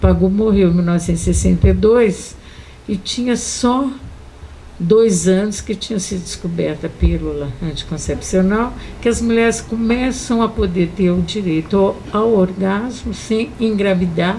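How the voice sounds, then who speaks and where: At a fairly slow pace, a woman speaks at medium pitch with ordinary pitch variation over noticeable background noise. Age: 70s. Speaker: feminist activist. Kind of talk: panel debate. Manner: animated.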